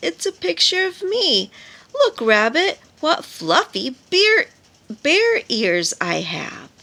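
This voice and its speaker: Very slowly, a woman puts on a high-pitched character voice. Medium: read story.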